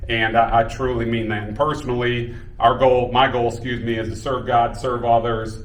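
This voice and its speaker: Moderate delivery from a man amid audible room echo and noticeable background noise. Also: medium pitch for a man. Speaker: high school basketball coach. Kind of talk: speech at a celebration. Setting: room with audience. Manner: loud; animated.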